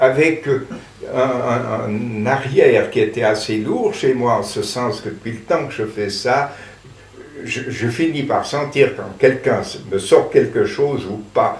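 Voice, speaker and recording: A man at a very slow pace, with big swings in loudness and noticeable background noise. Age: 80s+. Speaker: theatre director. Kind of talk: interview answer.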